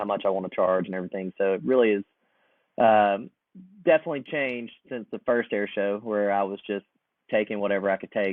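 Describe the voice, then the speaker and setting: A man with a fairly low pitch and an American accent talks at a fairly quick pace in a normal speaking voice. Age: 30s. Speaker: air show and air race pilot. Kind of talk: podcast interview. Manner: casual.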